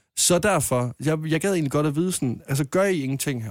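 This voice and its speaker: A man with an unremarkable speaking voice talks at a moderate pace with lively intonation, recorded very cleanly against a silent background. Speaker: caller. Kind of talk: casual chat.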